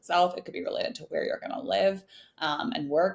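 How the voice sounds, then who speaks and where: Talking at a very fast pace, a woman with a West Coast US accent is heard over noticeable background noise. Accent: General American (West Coast). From Northern California, US. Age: 20s. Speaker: podcast guest, early-career professional and mentor. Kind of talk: casual interview chat.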